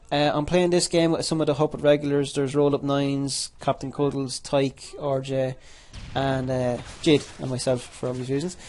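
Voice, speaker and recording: A man speaks with an Irish accent at a moderate pace. His fairly high-pitched voice stays monotone and flat. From Ireland. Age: 20s. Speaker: gaming youtuber. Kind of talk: gameplay commentary. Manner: halting, many repetitions; casual.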